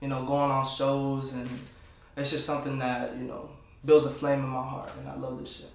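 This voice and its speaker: There is noticeable background noise and audible room echo. A man speaks in a fairly high voice with monotone, flat intonation. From Florida (Clermont, West Palm Beach). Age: 20s. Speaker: upcoming rapper. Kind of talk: casual interview monologue.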